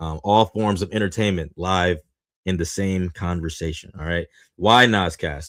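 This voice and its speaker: A man's very deep, low voice comes through in a very clean recording with a silent background. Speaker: podcast host. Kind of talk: casual podcast monologue. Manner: animated; halting, stumbling over words.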